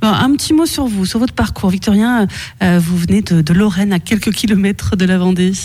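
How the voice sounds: Speaking at a fairly quick pace, a woman has a slightly mellow tone, a medium pitch and ordinary pitch variation.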